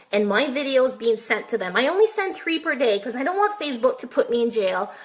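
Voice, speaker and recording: Noticeable background noise runs behind this woman's voice. Her pitch is high, and it swings very widely. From French Canada. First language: French. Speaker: online marketer and massage therapist. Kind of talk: live stream tutorial. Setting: live video stream. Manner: high energy.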